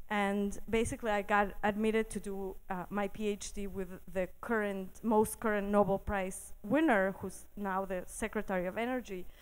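A woman with a Spanish accent speaks at a moderate pace and medium pitch, monotone and flat, with hardly any pauses. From Mexico City. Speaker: physicist and science TV host. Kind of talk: live storytelling. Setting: stage with audience.

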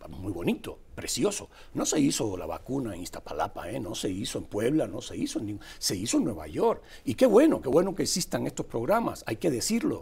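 The man talks fairly quickly. His volume rises and falls in big swings. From Cuba. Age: 50s. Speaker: political columnist. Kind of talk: political commentary chat.

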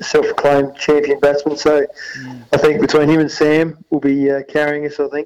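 With an Australian accent, a man speaks at a moderate pace in a fairly high pitch. His intonation is monotone and flat. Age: 30s. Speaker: football assistant coach and amateur cricketer. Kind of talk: radio interview.

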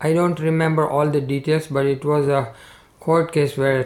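A man speaks with an Indian accent. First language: Gujarati. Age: 60s. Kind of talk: interview.

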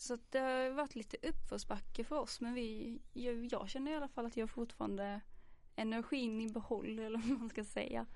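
A woman's fairly high-pitched voice, an ordinary speaking voice, at a moderate pace with fairly even intonation. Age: 20s. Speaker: social work student, podcast host. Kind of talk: casual chat. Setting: studio.

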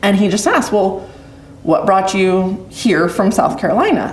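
A woman with a western US accent speaks at a fairly slow pace and a medium pitch. The recording carries audible room echo and noticeable background noise. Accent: western American. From Idaho, US. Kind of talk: testimony interview.

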